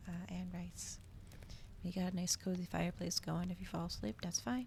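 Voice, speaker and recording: Her pace moderate, a woman is speaking. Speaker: vtuber streamer. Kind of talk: casual stream chat before ASMR reading. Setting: livestream. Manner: soft-spoken.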